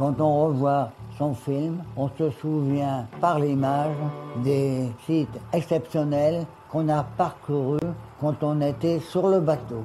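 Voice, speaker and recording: A man talks at a very slow pace in a fairly high voice, his intonation fairly even, with music playing in the background. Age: 80s+. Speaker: retired bargeman. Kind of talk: documentary interview, commenting home film.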